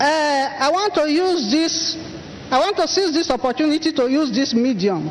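Noticeable background noise sits behind a woman speaking at a high pitch with lively intonation. She keeps a moderate pace and a very even loudness. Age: 60s. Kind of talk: church testimony.

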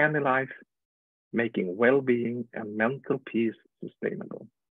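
In a quiet setting with dry sound and no echo, a man speaks at a moderate pace with ordinary pitch variation. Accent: Swedish. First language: Swedish. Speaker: webinar host. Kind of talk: guest introduction. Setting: video call. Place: home room. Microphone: earbuds.

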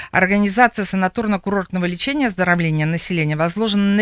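A woman talks at a very fast pace with ordinary pitch variation. The sound is dry with no echo, over a quiet background. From Belarus. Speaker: city health department head. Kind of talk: radio interview. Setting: radio studio. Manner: halting. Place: studio. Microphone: studio mic.

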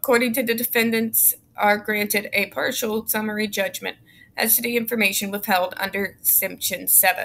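With light background noise, a woman speaks at a fairly high pitch in a bright, sharp tone and fairly even intonation. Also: moderate pace. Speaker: YouTube commentator. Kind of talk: reading aloud court documents with commentary; reading aloud a legal text with commentary. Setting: home, recording alone. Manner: informal, sarcastic. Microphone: webcam.

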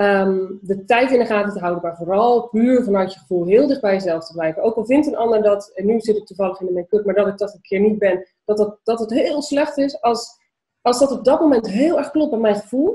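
Talking at a fairly quick pace with hardly any pauses, a woman uses a dark, mellow tone, a fairly high pitch, lively intonation and big swings in loudness. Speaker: entrepreneur and vlogger. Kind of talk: casual interview. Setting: video call. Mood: warm, animated, laughing. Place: home room. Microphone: webcam.

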